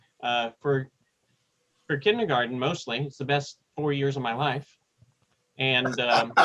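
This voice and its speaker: Speaking with an American accent, a man has a medium pitch and a bright, sharp tone. His fairly slow delivery has fairly even intonation and long, frequent pauses. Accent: Texan accent reduced, returns when in Texas. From East Texas, US (Tyler). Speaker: seminary administrator and publisher. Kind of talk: interview conversation. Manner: hesitant, many fillers.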